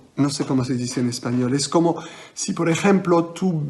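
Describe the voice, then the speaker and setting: Noticeable background noise surrounds a man speaking with a non-native accent at a fairly slow pace. His pitch variation is ordinary. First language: French (speaking Spanish). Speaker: magician. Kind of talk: interview. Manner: halting.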